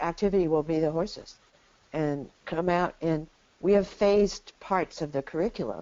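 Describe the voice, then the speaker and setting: Speaking at a fairly slow pace, a woman with a fairly low pitch has an unremarkable speaking voice and ordinary pitch variation. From Arizona, US Southwest. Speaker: equine therapy pioneer. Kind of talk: interview.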